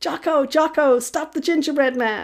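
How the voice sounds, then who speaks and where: A female-sounding, high-pitched put-on character voice on a very clean recording with a silent background. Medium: read story.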